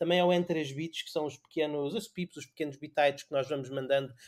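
In an unremarkable speaking voice, a man talks with ordinary pitch variation. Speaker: podcast host. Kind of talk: casual chat.

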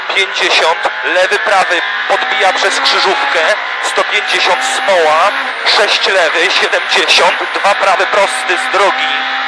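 The speech moves at a very slow pace with a dry sound and no echo, under loud background noise. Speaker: rally co-driver. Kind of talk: rally co-driver reading pace notes aloud. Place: car.

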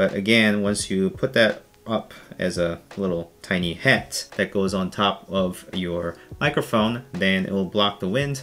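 A man talks at a fairly slow pace. His pitch is low. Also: ordinary pitch variation, fairly bright tone.

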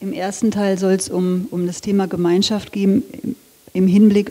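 The woman keeps to a fairly slow pace, her intonation fairly even. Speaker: design lecturer. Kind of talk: lecture. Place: hall. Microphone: handheld.

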